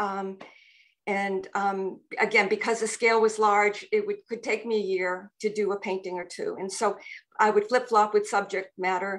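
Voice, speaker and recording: Against a quiet background, a woman talks at a moderate pace in a monotone, flat intonation. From Massachusetts. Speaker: painter. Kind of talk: group panel discussion. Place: home room. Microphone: video call.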